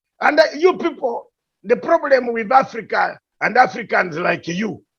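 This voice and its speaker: A man with a strong Ugandan accent talks at a fairly slow pace with lively intonation. His pitch is extremely high. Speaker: political commentator. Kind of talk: heated debate. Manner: animated.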